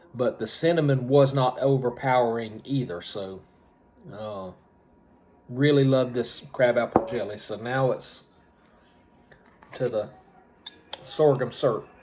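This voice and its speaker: A man at medium pitch and a fairly slow pace, with fairly even intonation, long, frequent pauses and noticeable background noise. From US South (Georgia). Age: 60s. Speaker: homestead YouTuber. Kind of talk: casual vlog, taste test. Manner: casual, rambling with fillers.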